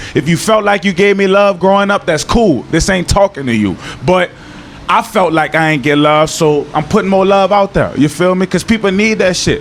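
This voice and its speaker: A man with a New Orleans accent speaks at a moderate pace and high pitch, with ordinary pitch variation and very even loudness. Noticeable background noise runs underneath. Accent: New Orleans accent, kept. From New Orleans, Louisiana. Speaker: former pro football player. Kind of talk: interview. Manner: casual, slangy.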